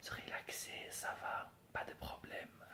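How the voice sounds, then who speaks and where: Someone whispers very slowly in an English accent over noticeable background noise. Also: man. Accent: non-native French, English. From England. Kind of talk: ASMR whisper talk. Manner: whispered, soft-spoken.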